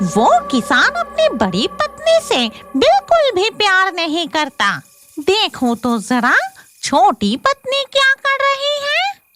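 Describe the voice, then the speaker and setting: A female-sounding cartoonish character voice speaks at an extremely high pitch and a very slow pace. Music plays in the background. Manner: gloating, cackling.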